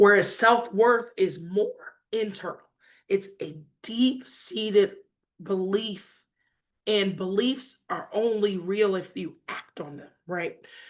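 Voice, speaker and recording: A woman speaks at a very slow pace with an American accent and a medium pitch. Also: ordinary pitch variation. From Detroit, US Midwest. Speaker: author and finance speaker. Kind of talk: talk to an online audience.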